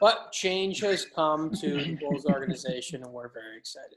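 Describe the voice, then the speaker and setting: A man with a slight Chicago accent speaks at a fairly high pitch. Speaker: podcast host. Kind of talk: casual podcast chat.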